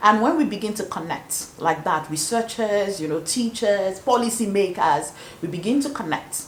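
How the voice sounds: A woman at a medium pitch speaks at a moderate pace with ordinary pitch variation, and the room echo is audible.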